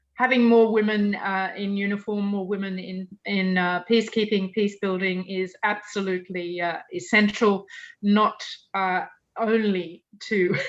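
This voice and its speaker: Against a quiet background, a woman speaks fairly slowly in a flat, monotone way. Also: medium pitch for a woman. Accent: Australian. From Australia. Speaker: UN victims' rights advocate. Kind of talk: Q&A answer in online panel talk. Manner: hesitant, many fillers.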